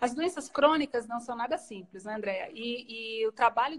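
A woman's fairly high voice at a fairly slow pace, with ordinary pitch variation and light background noise. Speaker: pediatric allergy doctor; guest. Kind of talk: live-stream interview. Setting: Instagram live video. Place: home room.

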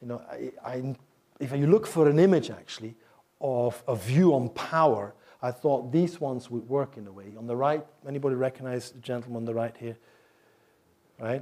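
Man with a Flemish accent and a dark, mellow tone, at a moderate pace, with ordinary pitch variation, long, frequent pauses and big swings in loudness. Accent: Belgian (Flemish) English. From Belgium. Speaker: professor of Chinese. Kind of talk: lecture. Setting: stage with audience. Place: hall.

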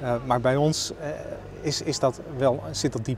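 Amid noticeable background noise, a man speaks fairly slowly with fairly even intonation in a dry sound with no echo. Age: 40s. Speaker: local politician. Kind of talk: interview. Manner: hesitant, many filler sounds. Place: street. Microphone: lapel.

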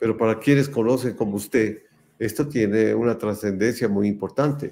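The voice has a dark, mellow tone. Its pitch varies in an ordinary way. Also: man. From Ecuador. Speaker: show host, sports photographer; interview host. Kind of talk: casual interview chat. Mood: warm, admiring. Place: home room.

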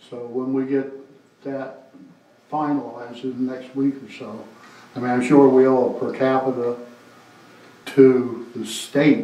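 A man with a Maine accent talks at a very slow pace in a monotone, flat delivery. The room echo is audible. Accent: Maine (New England). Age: 70s. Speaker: veterans' organization representative. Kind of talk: town council meeting. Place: meeting room.

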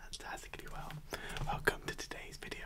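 A man whispers at a fairly quick pace. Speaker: food vlogger. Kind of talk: casual vlog chat. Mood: cheerful, relaxed. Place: home room. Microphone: studio mic.

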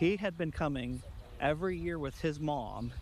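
Light background noise sits behind a man whose voice has ordinary pitch variation and a dry sound with no echo. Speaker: church senior pastor. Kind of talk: interview answer. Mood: warm, enthusiastic. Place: garden. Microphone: lapel.

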